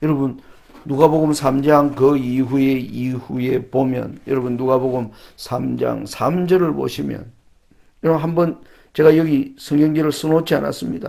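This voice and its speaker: A man talks at a fairly slow pace, his dark, mellow tone carrying fairly even intonation. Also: medium pitch for a man. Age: 60s. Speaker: preacher. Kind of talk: sermon.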